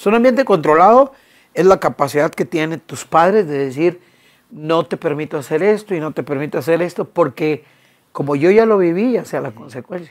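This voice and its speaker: A woman with a plain, everyday voice speaks at a moderate pace and fairly low pitch with lively intonation, in a very clean recording with a silent background. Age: 60s. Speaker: conference speaker on the Bible. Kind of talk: interview conversation.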